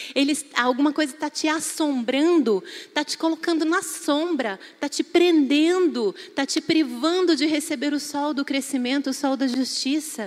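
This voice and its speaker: At a moderate pace, a woman speaks in an animated tone at a high pitch with ordinary pitch variation. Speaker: preacher. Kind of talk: sermon.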